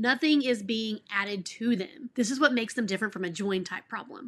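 A woman speaks at a moderate pace in a fairly high pitch, her tone bright and sharp and her intonation lively. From Texas. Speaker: elementary school teacher, education YouTuber. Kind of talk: tutorial. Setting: home office. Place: home room.

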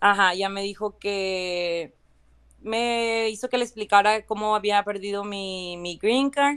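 A woman talks at a very slow pace. Her medium-pitched voice keeps a fairly even intonation. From Valle de Guadalupe, Ensenada, Baja California, Mexico. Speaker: citizenship applicant. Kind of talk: testimony. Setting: live stream.

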